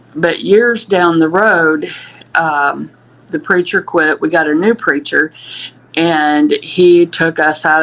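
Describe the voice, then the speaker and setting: A woman's very deep, low voice at a very slow pace, over noticeable background noise. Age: 60s. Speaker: abuse survivor. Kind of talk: testimony.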